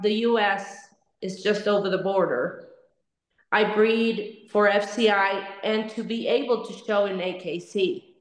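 A woman in a Spanish accent, very slow and monotone with flat intonation, amid audible room echo. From Mexico City, Mexico. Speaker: dog breeder. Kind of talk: webinar roundtable discussion.

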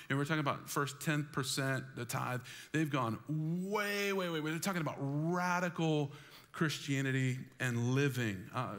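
This man talks at a fairly slow pace. His pitch varies in an ordinary way. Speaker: pastor. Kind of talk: sermon. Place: church.

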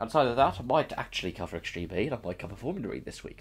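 A man speaks at a very fast pace with very wide pitch swings and a somewhat breathy voice. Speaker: gaming and motorsport content creator. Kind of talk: casual channel update. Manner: altered delivery to avoid coughing.

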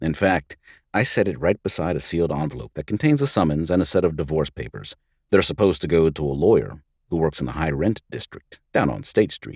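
A man's very deep, low voice with vocal fry at a fairly quick pace, dry and close with no echo, on a very clean recording with a silent background. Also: lively intonation. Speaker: voice actor; audiobook narrator. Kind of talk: audiobook narration, hard-boiled noir first-person story.

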